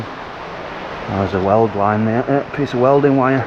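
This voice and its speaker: A man is speaking. Background noise is noticeable. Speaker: sandblaster. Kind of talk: casual work vlog talk to camera.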